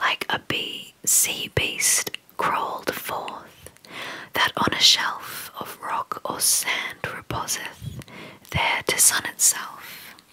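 Someone is whispering. The pace is very slow. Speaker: poetry reader. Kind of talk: reading poetry aloud. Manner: close-mic whispered poetry reading. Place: home room. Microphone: studio mic.

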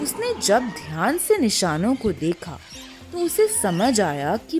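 Over background music, a woman is speaking. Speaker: voice-over artist. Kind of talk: children's moral story narration.

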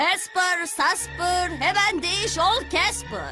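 In a cartoonish character voice with an extremely high pitch, a woman speaks slowly with a bright, sharp tone and lively intonation over faint background music.

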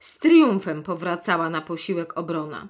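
An ordinary speaking voice at a fairly slow pace, lively intonation, and a very clean recording with a silent background. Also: woman. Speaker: actress and audiobook narrator. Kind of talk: literary audiobook reading of a classic children's novel, chapter narration. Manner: measured, expressive storytelling with clear diction.

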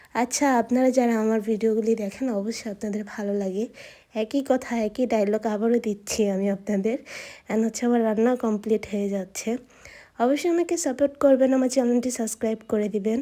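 On a very clean recording with a silent background, a woman's fairly high voice carries a dark, mellow tone and ordinary pitch variation. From Bangladesh, Munshiganj. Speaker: vlogger. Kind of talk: casual vlog narration.

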